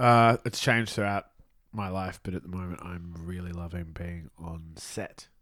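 With an Australian accent, a man talks at a moderate pace in a very deep, low voice with ordinary pitch variation, on a very clean recording with a silent background. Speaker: film crew member. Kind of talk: casual chat.

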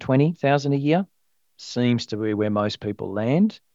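Speaking in an Australian accent, a man with a medium pitch is recorded with a dry, close sound with no echo against a quiet background. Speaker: financial planner. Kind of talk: casual chat.

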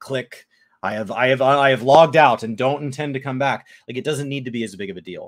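At a fairly quick pace, a man with an unremarkable speaking voice at a medium pitch shows ordinary pitch variation and big swings in loudness. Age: 20s. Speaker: gaming podcast co-host. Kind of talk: casual chat. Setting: live stream.

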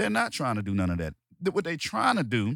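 With an American accent and vocal fry, a man talks at a fairly quick pace with very wide pitch swings, the sound dry and close with no echo. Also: very clean recording, silent background. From Washington DC, US. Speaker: podcast host. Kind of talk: angry rant, heated opinionated monologue. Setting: solo podcast recording. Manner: emphatic, repetitive, forceful, worked-up.

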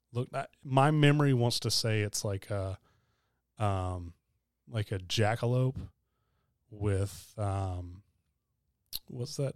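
A man with a Southern US accent at a very slow pace, fairly low in pitch, with long, frequent pauses, dry and close with no echo in a very clean recording with a silent background. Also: ordinary pitch variation. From South Carolina. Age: 30s. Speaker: podcast co-host. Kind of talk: casual chat. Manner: soft-spoken.

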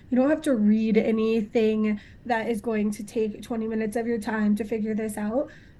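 Delivery is monotone, with flat intonation, at a moderate pace. There is a somewhat breathy quality to it. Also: woman, fairly high pitch for a woman. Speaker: podcast host. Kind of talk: interview chat.

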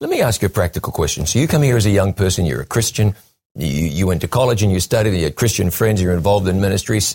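With a dry, close sound and no echo, a man speaks at a very fast pace in a fairly low, somewhat breathy voice with lively intonation. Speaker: TV interview host. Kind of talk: interview.

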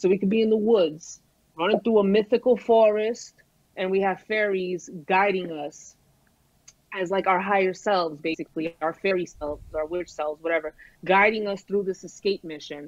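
Speaking with a Brooklyn accent at a moderate pace, a woman uses a medium pitch and ordinary pitch variation. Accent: Brooklyn New York. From Brooklyn, New York (Brighton Beach). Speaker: rapper. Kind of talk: casual chat. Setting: remote call over phone hotspot. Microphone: mobile hotspot connection.

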